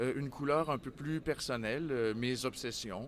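A man's fairly high voice with ordinary pitch variation. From Quebec City. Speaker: theatre artistic director. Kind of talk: interview. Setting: book fair, live on site.

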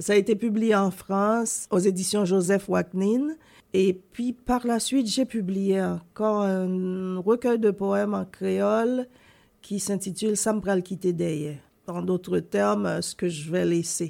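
A woman's dark, mellow voice at a very slow pace, medium in pitch with ordinary variation, in a very clean recording against a silent background. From Haiti. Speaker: poet and columnist. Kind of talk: interview.

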